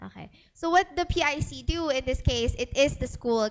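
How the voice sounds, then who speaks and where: With music in the background, a woman talks using lively intonation. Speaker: data privacy speaker. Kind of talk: seminar talk.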